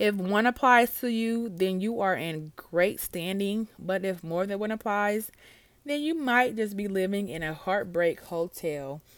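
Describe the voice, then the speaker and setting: A woman with a medium pitch has an unremarkable speaking voice. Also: lively intonation, fairly slow pace. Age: 20s. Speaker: podcast host. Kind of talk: casual monologue. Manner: many filler words.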